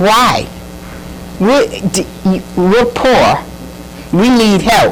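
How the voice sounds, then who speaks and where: Speaking very slowly with an American accent, the voice has lively intonation over noticeable background noise. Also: woman, fairly high pitch for a woman. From Ossining, New York. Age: 80s+. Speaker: tenant. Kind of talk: public comment at meeting.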